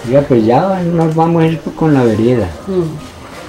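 A man speaks at a fairly slow pace with ordinary pitch variation. Faint music plays in the background. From Antioquia, Colombia. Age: old. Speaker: peasant community leader. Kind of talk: interview answer. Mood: relaxed, reminiscing. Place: home room.

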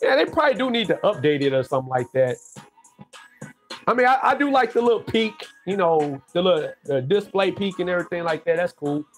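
Faint music plays in the background as a man with a high pitch speaks at a fairly quick pace. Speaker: tech livestreamer. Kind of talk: casual vlog chat. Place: home room. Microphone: webcam.

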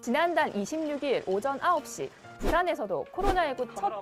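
Very wide pitch swings from a woman speaking at a moderate pace. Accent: Busan. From Busan, South Korea. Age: 30s. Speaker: announcer and broadcaster. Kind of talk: TV talk show interview answer.

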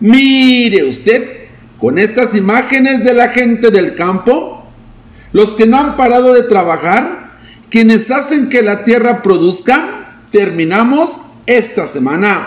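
Over noticeable background noise, a man talks very slowly at an extremely high pitch for a man, keeping his loudness very even. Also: ordinary pitch variation. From Mexico, Río Verde. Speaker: news reporter. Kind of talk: news reading.

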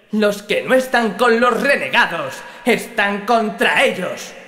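A man speaks in a raised, projected voice with an extremely high pitch. His tone is menacing and his pace is very slow. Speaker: character voice performed by the narrator. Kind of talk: dramatic character dialogue. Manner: cold, menacing, harsh, contemptuous.

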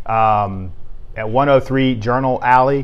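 A man with an American accent, medium pitch and ordinary pitch variation, an ordinary speaking voice. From US South. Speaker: sports writer. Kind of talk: sports awards show. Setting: office. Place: studio. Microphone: lapel.

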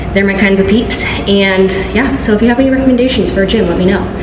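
A woman talks at a very fast pace with ordinary pitch variation, her voice carrying audible room echo over noticeable background noise. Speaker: fitness vlogger. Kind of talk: casual vlog chat. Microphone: phone near.

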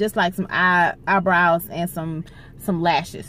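In a dry sound with no echo, a woman talks at a fairly slow pace. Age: 30s. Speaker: vlogger and hairstylist; vlogger. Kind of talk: casual vlog talk to camera.

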